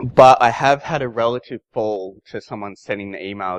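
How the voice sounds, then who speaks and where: Here a man speaks in an Australian accent with a fairly low pitch. The background is quiet. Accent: Australian, noticeable. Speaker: security consultant, conference speaker. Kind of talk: conference talk. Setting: stage with audience. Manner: casual.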